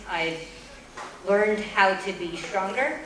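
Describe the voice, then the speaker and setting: Speaking at a fairly slow pace with an American accent, a woman is heard over noticeable background noise and audible room echo. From Boston area, US. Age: 40s. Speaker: mid-career graduate student. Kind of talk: farewell speech.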